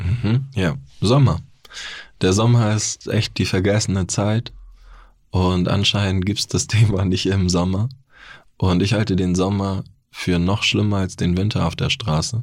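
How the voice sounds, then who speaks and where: Fairly slow and marked by long, frequent pauses, a man's speech keeps fairly even intonation in a very clean recording with a silent background. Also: fairly low pitch for a man. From Bavaria (Neu-Ulm). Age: 30s. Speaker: author and formerly homeless person. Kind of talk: interview testimony.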